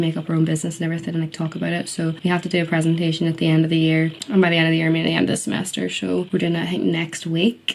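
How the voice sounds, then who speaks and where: Noticeable background noise runs under a woman with a Northern Irish accent. She talks very fast at a fairly low pitch. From Northern Ireland. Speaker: university student and beauty vlogger. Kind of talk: casual vlog narration. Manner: chatty, informal.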